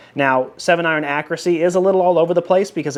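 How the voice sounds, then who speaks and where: The speech goes at a very fast pace over noticeable background noise. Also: man. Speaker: golf ball reviewer. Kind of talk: product review. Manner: casual, conversational.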